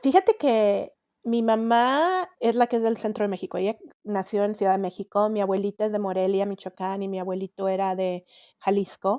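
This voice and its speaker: With a slight Monterrey accent, a woman speaks at a moderate pace in a medium pitch, her tone dark and mellow and her intonation fairly even, in a dry, close sound with no echo on a very clean recording with a silent background. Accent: slight Monterrey (regio). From northern Mexico, Monterrey. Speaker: coach and author. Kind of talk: interview chat.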